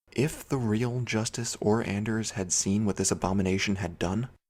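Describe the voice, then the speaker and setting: A man's ordinary speaking voice, fairly low in pitch, with ordinary pitch variation. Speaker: voice actor. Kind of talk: video game commentary narration.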